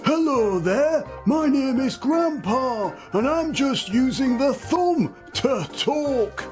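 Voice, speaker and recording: A man does a put-on character voice at a very slow pace while clear music plays in the background. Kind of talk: tutorial talk to camera.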